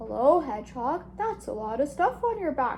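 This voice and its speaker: Using a put-on character voice, a woman sounds croaky and high-pitched at a moderate pace, with clear background noise. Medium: read story.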